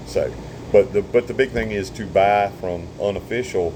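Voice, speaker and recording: There is noticeable background noise as a man speaks with a Southern US accent. His pitch is fairly low, with ordinary variation. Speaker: surveyor and vlogger. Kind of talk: casual monologue. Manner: halting.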